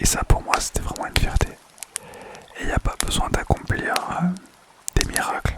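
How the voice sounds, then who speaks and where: A whisper comes through with noticeable background noise around it. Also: man. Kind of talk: ASMR personal story. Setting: home microphone recording. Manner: whispered; casual, hesitant.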